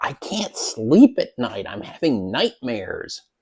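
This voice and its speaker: A man's put-on character voice, high-pitched, at a fairly slow pace. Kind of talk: comic modern paraphrase. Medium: solo performance.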